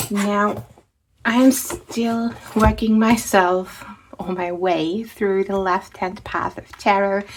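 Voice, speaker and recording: A woman with a non-native accent at a medium pitch, speaking at a very slow pace. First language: not English. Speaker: tarot and book content creator. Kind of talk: casual chat. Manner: hesitant, with filler words.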